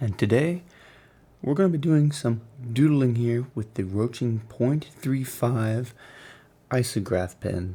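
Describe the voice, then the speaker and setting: In a very clean recording with a silent background, a soft-spoken, somewhat breathy voice with a dark, mellow tone speaks very slowly in a calm, soothing way, with lively intonation and long, frequent pauses. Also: man, medium pitch for a man. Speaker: artist. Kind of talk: ASMR drawing commentary. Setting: background rain and music. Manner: calm, soothing, soft-spoken.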